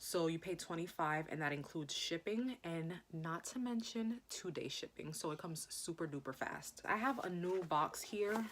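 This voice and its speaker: Speaking at a moderate pace with hardly any pauses, a woman with an unremarkable speaking voice uses a fairly low pitch and lively intonation. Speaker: beauty vlogger. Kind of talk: unboxing video. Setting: filming in front of camera. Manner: casual, chatty.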